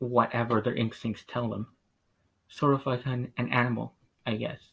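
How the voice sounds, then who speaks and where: Speaking at a moderate pace, a man with a medium pitch sounds somewhat breathy, with monotone, flat intonation and long, frequent pauses. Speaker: vlogger. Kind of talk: casual monologue. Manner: halting, many pauses; mumbling at times. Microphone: poor sound quality.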